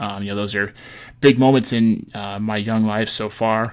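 In a very clean recording with a silent background, a man with an American accent speaks in an unremarkable speaking voice, fairly low in pitch with fairly even intonation. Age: 20s. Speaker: podcast host. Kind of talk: casual monologue.

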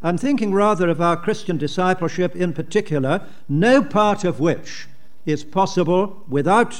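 A man with a British RP accent speaks at a moderate pace in a high pitch, his intonation lively. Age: 80s. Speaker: preacher. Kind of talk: sermon. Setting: conference with audience.

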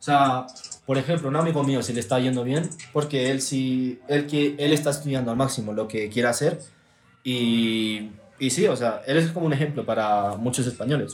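A man speaks at a medium pitch and a moderate pace with ordinary pitch variation, with audible room echo and noticeable background noise. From Texas. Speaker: content creator. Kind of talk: casual chat.

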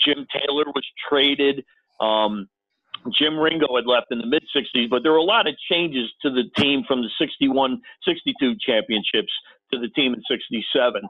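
Lively intonation and a fairly slow pace mark an ordinary speaking voice. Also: man, fairly high pitch for a man. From US Northeast (Connecticut). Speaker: former sports TV producer, NFL historian. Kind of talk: casual interview. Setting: phone call.

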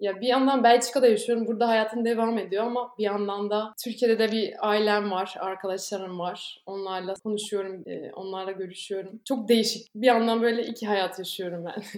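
A woman with a fairly high pitch speaks at a moderate pace with fairly even intonation and hardly any pauses. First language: not Turkish (Belgian) (speaking Turkish). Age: 20s. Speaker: former exchange student, volunteer. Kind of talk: casual interview.

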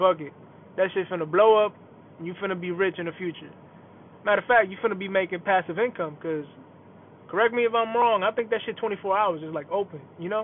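Talking at a very fast pace with long, frequent pauses, a man with an American accent uses a high pitch and ordinary pitch variation. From New York, Bronx. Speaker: aspiring rapper and podcaster. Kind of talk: casual solo podcast monologue. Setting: in a car. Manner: laid-back.

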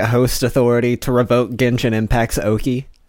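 A man speaks with a normal speaking voice. His pitch is medium and his pace moderate. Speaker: co-host. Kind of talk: casual comedy banter. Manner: deadpan, dry, mock-formal.

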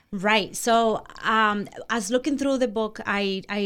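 The speaker has a Spanish accent. The intonation stays fairly even. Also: woman. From Dominican Republic. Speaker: interior designer. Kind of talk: casual interview chat.

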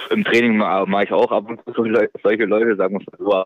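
This man speaks at a moderate pace. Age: 20s. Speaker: professional footballer. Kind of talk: interview. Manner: halting.

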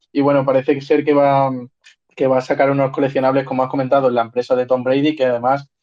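A man at medium pitch speaks in a dark, mellow tone with monotone, flat intonation. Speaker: podcast co-host. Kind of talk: casual chat.

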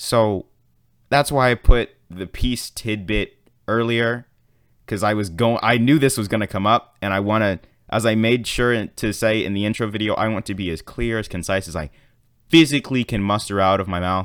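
In a very clean recording with a silent background, a man speaks at a moderate pace in a fairly low voice with ordinary pitch variation. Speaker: podcast host. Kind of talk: solo casual monologue podcast. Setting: solo podcast recording. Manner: chatty, rambling, warm; animated, casual, filler-heavy.

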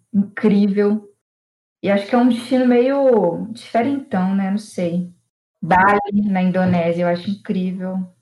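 A woman's medium-pitched, somewhat breathy voice, fairly slow, with fairly even intonation. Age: 20s. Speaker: programmer and traveller. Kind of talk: casual chat.

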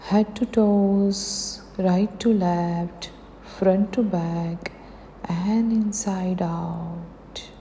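Over noticeable background noise, a woman speaks at a very slow pace with medium pitch. Her tone is calm and soothing, and her intonation is monotone and flat. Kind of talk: guided meditation. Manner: slow, calm, soothing; gentle, encouraging, with pauses.

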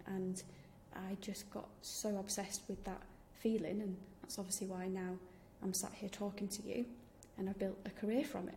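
The voice carries a Yorkshire accent with monotone, flat intonation. Long, frequent pauses break up the speech. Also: woman, medium pitch for a woman, moderate pace. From Yorkshire, England. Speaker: podcast host, founder of activewear brand, professor. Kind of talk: scripted podcast intro and solo talk.

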